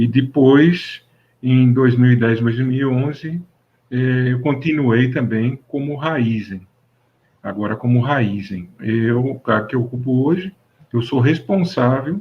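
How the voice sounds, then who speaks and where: A man with a medium-pitched, somewhat breathy voice speaks very slowly, with ordinary pitch variation and long, frequent pauses. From interior of São Paulo state, Brazil. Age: 60s. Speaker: mechanical engineer. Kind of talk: interview. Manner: halting, many fillers.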